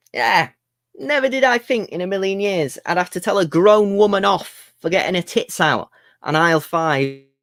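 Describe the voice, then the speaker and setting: Lively intonation marks this fairly slow delivery in an English accent. The recording is very clean, with a silent background. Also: man, dry, close sound with no echo. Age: 20s. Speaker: comedian. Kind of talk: stand-up.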